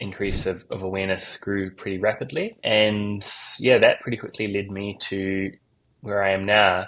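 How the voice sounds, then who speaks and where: In a New Zealand accent, a man speaks at a fairly low pitch and a fairly slow pace with monotone, flat intonation. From New Zealand, South Island. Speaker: crypto project marketing and community lead. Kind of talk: interview.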